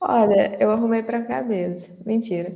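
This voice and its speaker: A woman speaks at a medium pitch with an unremarkable speaking voice. Her pace is fairly slow. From Brazil, interior of São Paulo state (Franca). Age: 20s. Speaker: data professional, former math teacher. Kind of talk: casual interview.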